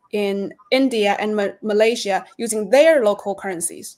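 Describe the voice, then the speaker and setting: The speaker has a Chinese accent. Pace is moderate and pitch variation ordinary. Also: woman. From China. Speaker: reporter. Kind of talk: interview answers.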